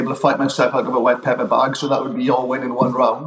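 Someone with a Welsh accent talks at a very fast pace. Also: man. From Wales. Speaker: strength and conditioning coach. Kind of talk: casual chat.

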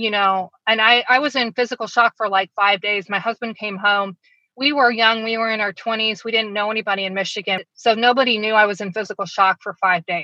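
With a normal speaking voice and an American accent, a woman speaks at a fairly high pitch with fairly even intonation. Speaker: daughter of serial killer, author. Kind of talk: interview testimony.

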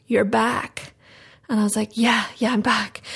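A woman speaks with a South Wales accent. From South Wales, Ammanford. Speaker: actress. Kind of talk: casual chat.

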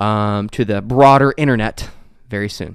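On a very clean recording with a silent background, a man with an ordinary speaking voice talks at a moderate pace with fairly even intonation. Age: 30s. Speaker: tech podcast host. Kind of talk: casual chat. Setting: studio.

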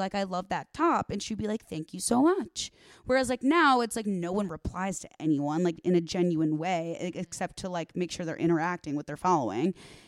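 With an American accent, a woman speaks in a normal speaking voice at medium pitch, using lively intonation at a fairly quick pace, in a very clean, dry, close recording with a silent background and no echo. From Chicago suburbs, Illinois. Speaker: social media influencer. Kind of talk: casual chat. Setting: home recording. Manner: fast.

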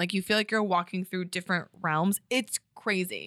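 A woman with a slight Connecticut accent speaks at a moderate pace and medium pitch, her bright, sharp tone and fairly even intonation caught in a very clean, dry, close recording with no echo and a silent background. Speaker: stand-up comedian and podcaster. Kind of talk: casual chat. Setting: studio.

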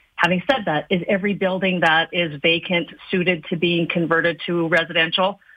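At a fairly quick pace, a normal speaking voice keeps a fairly even intonation. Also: woman, fairly low pitch for a woman. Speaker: chamber of commerce chief executive. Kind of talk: radio interview.

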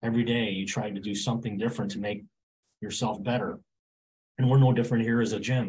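A man speaks very fast at medium pitch in a somewhat breathy voice, with fairly even intonation. He leaves long, frequent pauses. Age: 60s. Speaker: gym owner. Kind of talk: interview.

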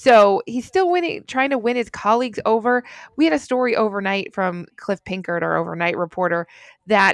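Recorded dry and close with no echo, a woman with an unremarkable speaking voice talks at a moderate pace using lively intonation. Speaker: journalist. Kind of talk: news discussion podcast.

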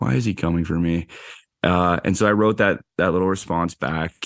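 A man's voice with ordinary pitch variation, in a dry, close sound with no echo. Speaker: actor. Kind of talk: casual chat.

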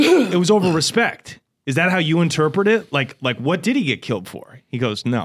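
A man with a fairly high pitch and vocal fry talks at a moderate pace with very wide pitch swings. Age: 30s. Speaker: podcast host. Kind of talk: casual chat. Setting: studio.

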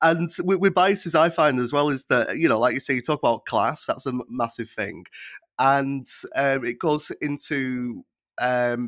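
In a Lancashire accent, a man speaks at medium pitch and a moderate pace with ordinary pitch variation. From northern England (Lancashire). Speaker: podcast producer standing in as host, also stand-up poet. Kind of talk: podcast interview. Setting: studio.

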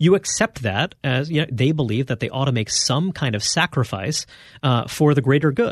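A man's fairly high, somewhat breathy voice at a moderate pace, with lively intonation. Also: quiet background. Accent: American. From Brooklyn, New York. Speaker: magazine editor and author. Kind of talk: interview.

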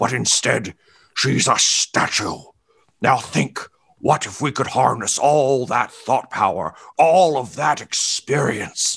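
Speaking fairly slowly, a man uses a put-on character voice at medium pitch. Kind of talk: political speech. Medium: actual play. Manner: rambling, self-satisfied.

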